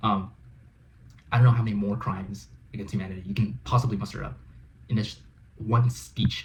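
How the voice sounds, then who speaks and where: A man talks with an American accent and vocal fry. His pitch varies in an ordinary way. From United States. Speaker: reaction video host. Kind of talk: reaction commentary. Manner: halting.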